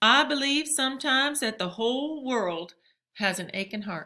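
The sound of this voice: A woman puts on a character voice, pitched high with lively intonation. Her tone is bright and sharp, and her pace is fairly slow.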